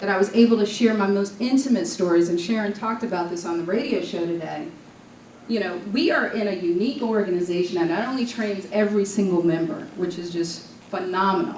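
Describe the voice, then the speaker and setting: With an American accent, a woman of medium pitch talks at a fairly quick pace with ordinary pitch variation, amid audible room echo and noticeable background noise. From New York. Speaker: Toastmasters district leader and speaker. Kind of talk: conference talk. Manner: animated.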